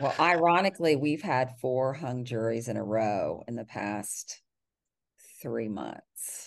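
In a Texan accent, a woman with a very deep, low pitch and lively intonation speaks at a very slow pace against a quiet background. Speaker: criminal defense lawyer. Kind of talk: interview.

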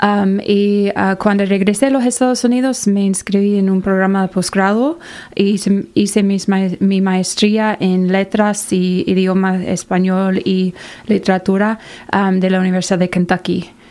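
A woman in an English accent, medium in pitch with a dark, mellow tone, fairly even intonation, very even loudness and a fairly slow pace. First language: English (speaking Spanish). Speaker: college outreach director. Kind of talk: interview. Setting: studio.

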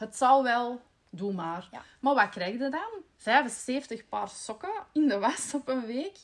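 Speaking at a very slow pace, a woman uses a high pitch with very wide pitch swings and big swings in loudness. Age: 30s. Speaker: podcast host, marketing employee. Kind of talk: casual chat.

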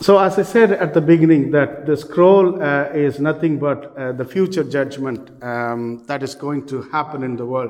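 A man with an Indian accent speaks at a moderate pace with hardly any pauses. His pitch is fairly high, with ordinary pitch variation. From South India.

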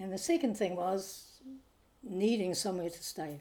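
Speaking with a New Zealand accent, this is a woman. She talks at a fairly slow pace. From New Zealand, Nelson. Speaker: retired missionary midwife. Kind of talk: interview. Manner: halting.

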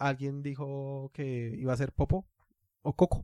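The sound is dry and close with no echo, on a very clean recording with a silent background. A man speaks at a fairly high pitch in a dark, mellow tone. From Latin America. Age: 30s. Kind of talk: casual chat.

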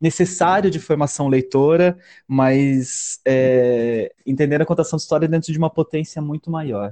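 Over a quiet background, a man talks at a moderate pace in a dark, mellow tone, his pitch fairly high with ordinary variation, the sound dry and close with no echo. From Palotina, western Paraná, Brazil. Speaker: storyteller and artist. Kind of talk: casual interview chat. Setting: video call.

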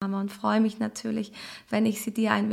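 This woman's fairly high, somewhat breathy voice has a calm, soothing tone and a flat, monotone delivery. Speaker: astrologer and transformation coach. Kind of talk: guided meditation; recorded astrology message. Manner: calm, slow, soothing.

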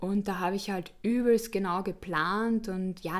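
Recorded very cleanly against a silent background, a woman with a plain, everyday voice speaks at medium pitch with fairly even intonation. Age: 20s. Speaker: student and former model. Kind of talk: interview.

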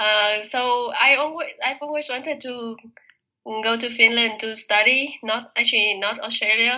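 Speaking at a fairly slow pace in a Vietnamese accent, a woman has a high pitch and a bright, sharp tone. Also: fairly even intonation. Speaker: master's student. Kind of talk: interview.

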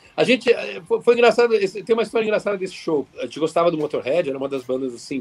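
Against noticeable background noise, a man speaks at a high pitch with very wide pitch swings. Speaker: rock guitarist. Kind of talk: podcast interview.

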